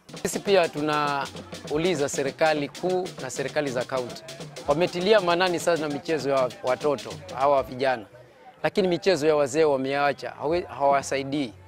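A man talks at a moderate pace with ordinary pitch variation. The sound is dry with no echo, and music plays clearly in the background. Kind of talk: interview answer. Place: open country. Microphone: lapel.

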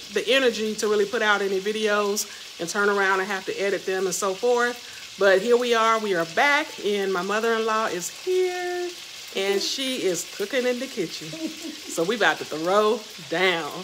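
Woman speaking at a moderate pace amid noticeable background noise. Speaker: vlogger. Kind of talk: casual vlog chat. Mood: cheerful, relaxed. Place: kitchen. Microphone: phone near.

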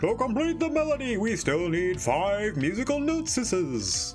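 A man's put-on character voice at a high pitch, with clear music in the background. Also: moderate pace, very even loudness. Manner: solemn, oracular.

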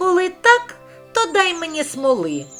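A put-on character voice at an extremely high pitch, with faint music in the background. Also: moderate pace. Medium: read story. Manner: sly, sweet.

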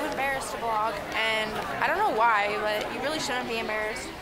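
Crowd noise fills the background as a woman talks at a moderate pace. Her pitch varies in an ordinary way. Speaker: traveling vlogger. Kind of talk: casual vlog chat. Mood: playful, slightly self-conscious. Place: station. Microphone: phone near.

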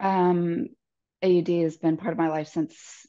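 A woman speaks very slowly in a dark, mellow tone. The background is quiet. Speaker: podcast guest. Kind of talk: interview answer. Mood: reflective, calm. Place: home room. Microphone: earbuds.

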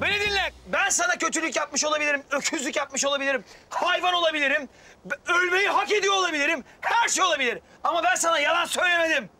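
A put-on character voice, bright and sharp in tone, fast-paced with few pauses and ordinary pitch variation. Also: man, extremely high pitch for a man.

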